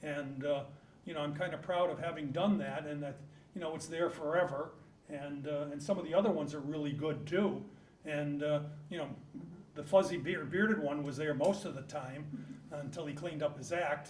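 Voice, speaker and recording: Against noticeable background noise and audible room echo, a man talks at a fairly quick pace with a fairly high pitch and fairly even intonation. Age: 70s. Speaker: local business owner. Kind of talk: acceptance remarks at a public meeting. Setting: town hall meeting room.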